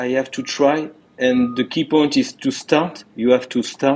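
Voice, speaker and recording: A man with a medium pitch talks fairly slowly. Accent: French. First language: French. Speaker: interventional cardiologist. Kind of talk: interview. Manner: halting, many repetitions.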